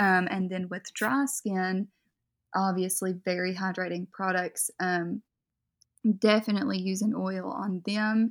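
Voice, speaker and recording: A woman's medium-pitched, fairly slow delivery with fairly even intonation, a normal speaking voice, in a very clean recording with a silent background. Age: 20s. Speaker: makeup artist. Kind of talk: casual interview. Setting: voice call.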